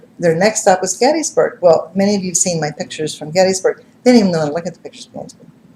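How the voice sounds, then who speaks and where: A woman's somewhat breathy voice with a dark, mellow tone, at a very fast pace. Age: 60s. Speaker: psychic medium and TV personality. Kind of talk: live stream monologue. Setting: live web stream. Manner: animated.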